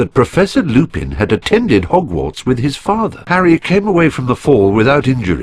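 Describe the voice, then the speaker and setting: A man talks at a fairly quick pace with hardly any pauses, his pitch swinging very widely through a layer of vocal fry. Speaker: video game narrator. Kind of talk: storytelling narration of a story recap.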